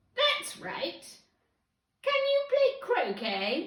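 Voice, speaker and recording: Loud and shouting, a female-sounding put-on character voice comes out squeaky and shrill. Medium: read story. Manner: severe, shouting.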